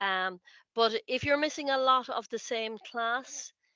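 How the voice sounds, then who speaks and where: In an Irish accent, a woman speaks at a fairly slow pace, the sound dry and close with no echo against a quiet background. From Ireland. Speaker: college lecturer. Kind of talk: information session talk. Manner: halting, many fillers and repeats.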